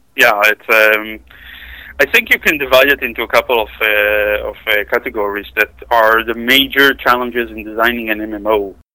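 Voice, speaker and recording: With an Israeli accent, a man speaks at medium pitch and a moderate pace in a bright, sharp tone and monotone, flat intonation, the sound dry and close with no echo. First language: Hebrew. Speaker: software tester and gamer. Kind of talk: casual chat.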